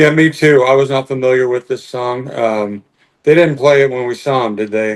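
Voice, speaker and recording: A man with an ordinary speaking voice, medium in pitch, at a moderate pace with fairly even intonation. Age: 60s. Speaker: music podcast co-host. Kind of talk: casual chat.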